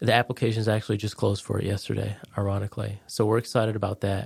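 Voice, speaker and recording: A man talks at a fairly low pitch with vocal fry, in an American accent. The recording is very clean with a silent background and a dry, close sound with no echo. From Connecticut. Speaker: veteran and real estate agent. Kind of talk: casual chat.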